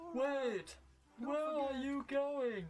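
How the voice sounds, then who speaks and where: A high-pitched voice doing a cartoonish character. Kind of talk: gentle children's cartoon voice. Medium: machinima. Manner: meek, polite, wondering.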